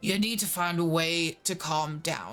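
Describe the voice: Over music in the background, a man uses a put-on character voice that is gravelly and high-pitched, at a fairly slow pace.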